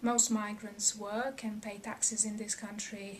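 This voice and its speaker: A Serbian accent with noticeable background noise. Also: woman. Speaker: researcher. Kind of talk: personal testimony.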